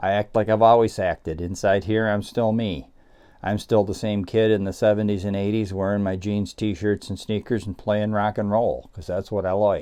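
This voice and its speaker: The pace here is moderate. The man's voice sits fairly low in pitch. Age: 60s. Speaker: guitar youtuber. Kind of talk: casual vlog talk. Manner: casual with hesitations.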